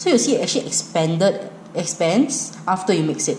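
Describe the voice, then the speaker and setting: A woman speaks at a fairly slow pace with a Singaporean accent over noticeable background noise. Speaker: cooking vlogger. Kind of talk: cooking tutorial. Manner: casual, rambling with fillers.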